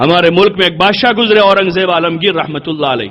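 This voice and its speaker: Moderately paced, a man's high-pitched voice comes through. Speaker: Islamic scholar giving a sermon. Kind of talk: Islamic sermon (bayan) on women's veiling.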